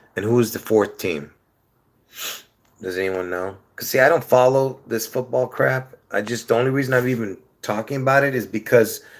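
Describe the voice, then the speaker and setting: A man's unremarkable speaking voice, medium in pitch with ordinary pitch variation, at a moderate pace. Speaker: live streamer. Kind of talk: casual live stream chat.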